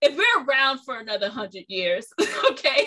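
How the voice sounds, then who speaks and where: A woman speaks in a raised, projected voice. Her pitch is high and her intonation lively. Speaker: podcast host. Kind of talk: casual conversation interview. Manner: animated.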